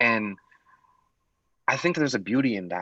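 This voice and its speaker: A man with an American accent, medium pitch and ordinary pitch variation, in a dry, close sound with no echo. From US Pacific Northwest. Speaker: poet. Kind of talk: webinar talk. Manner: halting, many fillers.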